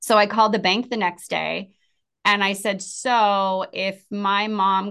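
A woman of medium pitch speaks with an American accent. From San Diego, California. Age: 40s. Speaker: podcast host. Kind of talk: casual chat.

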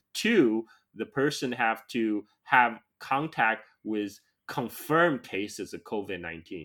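A man in a Chinese accent with a medium pitch and lively intonation, in a very clean recording with a silent background. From China. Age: 40s. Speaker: podcast host. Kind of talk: casual interview.

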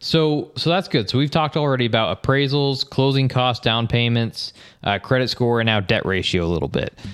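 With a plain, everyday voice, the speaker talks at a fairly quick pace with ordinary pitch variation. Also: man, medium pitch for a man. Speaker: real estate agent and podcast host. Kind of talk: casual interview chat, explaining mortgage terms.

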